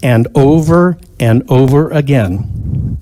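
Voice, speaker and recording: Here a man speaks with lively intonation. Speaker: inventor and pattern recognition expert testifying at hearing. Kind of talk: testimony. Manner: loud; emphatic.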